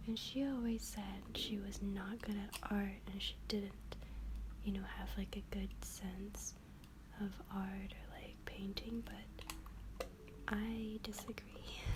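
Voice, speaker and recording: Over noticeable background noise, a soft-spoken woman talks at a very slow pace. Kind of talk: ASMR soft-spoken show-and-tell about keepsakes.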